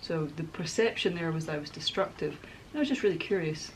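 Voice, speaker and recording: Over light background noise, a woman speaks very fast in a fairly low voice. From Scotland, Glasgow. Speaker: crafter making a miniature dollhouse. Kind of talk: casual crafting vlog chat. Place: home room.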